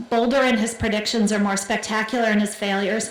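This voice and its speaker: A woman speaks at a fairly high pitch. Audible room echo and noticeable background noise are present. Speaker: keynote speaker, business journalist. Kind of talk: keynote speech. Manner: fast; halting, repeats words.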